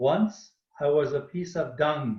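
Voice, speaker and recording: A man speaks at a very slow pace in a fairly high voice with a somewhat breathy edge. His pitch rises and falls in an ordinary way. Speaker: webinar host, spiritual teacher. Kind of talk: reading aloud a poem; online panel talk.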